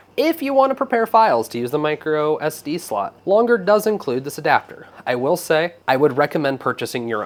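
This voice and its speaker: An upbeat tone carries very wide pitch swings, with hardly any pauses between words. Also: man, fairly high pitch for a man. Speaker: maker tech reviewer. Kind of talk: casual product review to camera. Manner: upbeat, casual.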